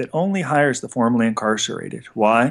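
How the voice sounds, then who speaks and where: A man talks in a Californian accent at a medium pitch. The background is quiet. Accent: General American (Californian). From Los Angeles area, California. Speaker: federal prison consultant. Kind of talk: interview.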